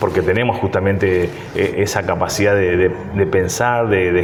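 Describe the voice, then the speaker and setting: In a room with audible echo and noticeable background noise, a man speaks fairly slowly in a fairly low pitch with fairly even intonation. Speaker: mayor, politician. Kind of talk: interview. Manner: hesitant fillers, frequent repetitions.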